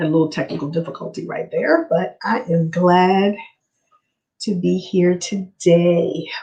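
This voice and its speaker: A woman speaks at a fairly slow pace in a fairly low, dark, mellow tone. Her voice is somewhat breathy, with fairly even intonation. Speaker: livestream host on home buying. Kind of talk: live stream talk. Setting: live stream.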